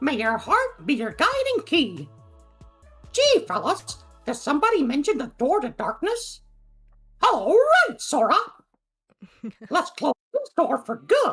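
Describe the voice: A man's put-on character voice, extremely high in pitch and fairly slow, with long, frequent pauses and faint music in the background.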